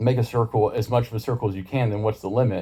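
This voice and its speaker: This man mumbles in a dark, mellow tone at a medium pitch. His delivery is somewhat breathy, with fairly even intonation. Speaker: YouTuber explaining ideas. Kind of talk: casual monologue to camera. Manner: fast; mumbling at points.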